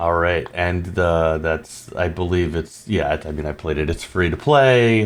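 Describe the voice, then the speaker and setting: Speaking at a fairly slow pace, a man with an American accent has a very deep, low pitch. His pitch varies in an ordinary way. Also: hardly any pauses. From New York. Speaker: podcast host. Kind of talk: podcast interview. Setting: online call. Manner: halting.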